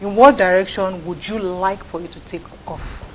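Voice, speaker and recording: Over noticeable background noise, a woman can be heard speaking. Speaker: TV talk show host. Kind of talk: interview. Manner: animated.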